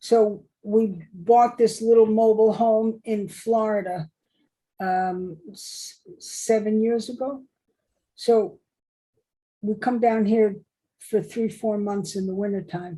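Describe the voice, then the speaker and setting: A woman speaks at a very slow pace with long, frequent pauses and big swings in loudness. Her voice is fairly high in pitch, somewhat breathy and dark and mellow in tone, with fairly even intonation. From New York City. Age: 70s. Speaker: retired electrical engineer and contractor. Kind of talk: oral history interview.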